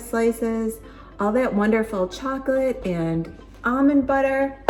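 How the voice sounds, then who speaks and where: A woman with an American accent, high-pitched and animated, at a fairly slow pace with ordinary pitch variation, amid noticeable background noise. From Buffalo, New York, US. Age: 50s. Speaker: lifestyle vlogger. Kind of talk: casual vlog tutorial. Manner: chatty, animated.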